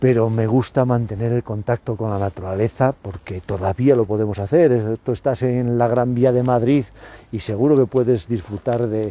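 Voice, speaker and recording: Dry and close with no echo, a man's dark, mellow voice carries ordinary pitch variation. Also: medium pitch for a man, moderate pace. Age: 60s. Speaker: biology professor. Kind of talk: interview. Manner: hesitant, with many repetitions.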